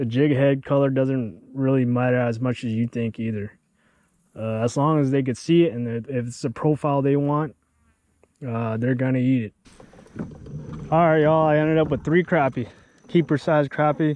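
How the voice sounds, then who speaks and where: An American-accented man talks at a moderate pace in a medium pitch, with ordinary pitch variation and long, frequent pauses. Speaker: fishing video creator. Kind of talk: tutorial; casual outdoor vlog narration. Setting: outdoors on a kayak. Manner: casual with many fillers; quiet, subdued speaking.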